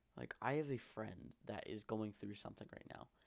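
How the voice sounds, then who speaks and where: Ordinary pitch variation from a male speaker. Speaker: vlogger. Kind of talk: personal monologue vlog. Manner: fast; halting, tripping over words.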